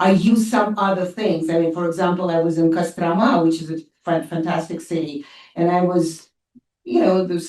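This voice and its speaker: A woman speaks at a moderate pace with a dark, mellow tone and a fairly low pitch. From Russia. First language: Russian. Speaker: professor of international affairs. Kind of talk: audience Q&A answer at a seminar. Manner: halting, many fillers and restarts.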